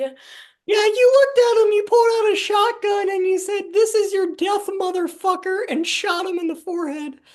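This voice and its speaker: A put-on character voice, extremely high in pitch, at a moderate pace. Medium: comedy sketch. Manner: deadpan, unflappable.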